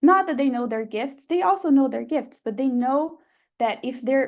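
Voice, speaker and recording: A woman speaks with a Brazilian Portuguese accent at a moderate pace. Her pitch varies in an ordinary way over a quiet background. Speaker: photographer and workshop teacher. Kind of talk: online workshop talk.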